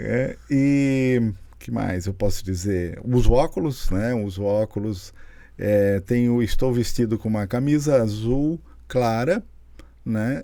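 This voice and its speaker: The recording is very clean, with a silent background, and a man speaks very slowly at a medium pitch. His tone is dark and mellow, with ordinary pitch variation. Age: 60s. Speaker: physician, nephrologist. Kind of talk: podcast interview. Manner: halting, many restarts.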